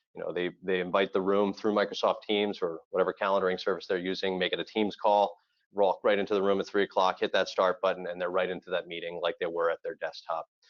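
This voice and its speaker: Speaking at a very fast pace with hardly any pauses, a man talks with a slight Floridian accent. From Florida. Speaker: audiovisual integration company representative. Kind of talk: webinar presentation.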